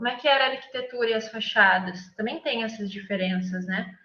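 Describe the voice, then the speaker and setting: Fairly quick speech with ordinary pitch variation and audible room echo. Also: woman. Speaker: architect, guest lecturer. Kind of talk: lecture. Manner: halting, many fillers and self-corrections.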